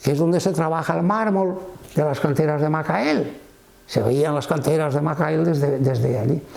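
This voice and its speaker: With a Valencian accent, a man speaks at a fairly high pitch and a moderate pace, his intonation fairly even and loudness very even, amid noticeable background noise and audible room echo. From Valencia region, Spain (Cullera). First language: Valencian (speaking Spanish). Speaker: retired Greek and Latin teacher. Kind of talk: interview.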